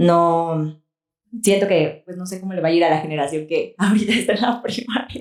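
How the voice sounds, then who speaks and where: Using a normal speaking voice, a woman talks at a moderate pace and medium pitch with ordinary pitch variation and big swings in loudness. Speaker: podcast co-host. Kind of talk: casual chat.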